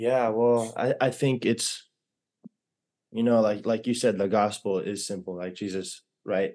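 A man's fairly low, dark and mellow voice at a moderate pace. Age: 20s. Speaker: podcast co-host. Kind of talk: casual chat. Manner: halting.

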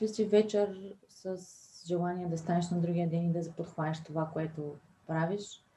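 A woman's somewhat breathy voice, fairly low in pitch, with a dark, mellow tone at a fairly slow pace. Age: 30s. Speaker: entrepreneur and mother. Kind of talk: interview.

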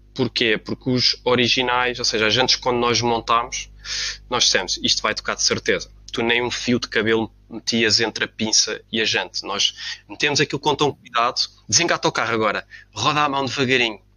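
A man with an unremarkable speaking voice speaks at a medium pitch with fairly even intonation. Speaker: car enthusiast. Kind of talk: casual chat.

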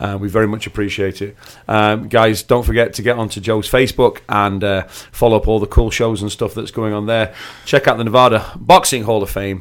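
With a Manchester accent, a man talks at a fairly quick pace in a fairly low pitch, his intonation fairly even. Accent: northern English (Manchester). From northwest England, near Manchester. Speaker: podcast host. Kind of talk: casual interview chat. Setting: studio.

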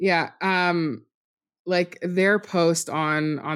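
A woman talks with fairly even intonation. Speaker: fan podcast guest. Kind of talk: casual chat. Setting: remote group call. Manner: laughs often.

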